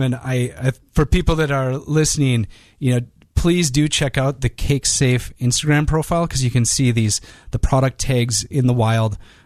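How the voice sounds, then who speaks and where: With a Minnesotan accent, a man talks at a moderate pace and medium pitch, his loudness very even and his pitch variation ordinary, over a quiet background. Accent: Minnesota. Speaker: podcast host. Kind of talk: podcast interview.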